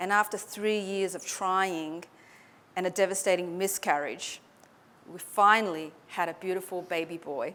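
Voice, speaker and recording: A woman with an Australian accent speaks at a moderate pace in a medium-pitched, bright, sharp voice. Her intonation is monotone and flat, with big swings in loudness, and the recording is very clean with a silent background. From Australia (Sydney), born in Hong Kong. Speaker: public speaking coach. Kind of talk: motivational talk.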